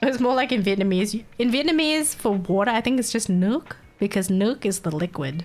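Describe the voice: Against noticeable background noise, a woman with an Australian accent speaks at a fairly quick pace with a fairly high pitch, lively intonation and very even loudness.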